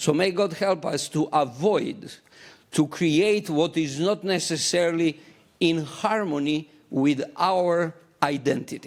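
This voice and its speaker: In a non-native accent, the speaker goes at a very slow pace with very even loudness and ordinary pitch variation, on a very clean recording with a silent background. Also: man, high pitch for a man. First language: not English. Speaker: church delegate. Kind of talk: formal debate speech at church business meeting. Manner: halting.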